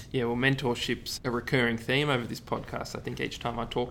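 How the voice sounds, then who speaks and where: Very fast and monotone, a man with an Australian accent talks at a medium pitch, his flat delivery edged with vocal fry. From Ballarat, Victoria, Australia. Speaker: podcast host, medical student. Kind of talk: interview.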